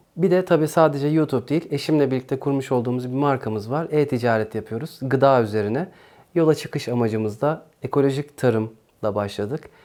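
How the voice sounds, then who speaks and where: In a very clean recording with a silent background, a man with a dark, mellow tone speaks fairly quickly at a medium pitch, with ordinary pitch variation and hardly any pauses. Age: 40s. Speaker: YouTuber and small farmer. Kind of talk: interview answers.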